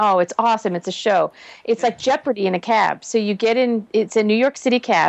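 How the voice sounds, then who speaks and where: With an American accent, a woman talks at a fairly quick pace and fairly high pitch, with ordinary pitch variation and very even loudness. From Massachusetts, US.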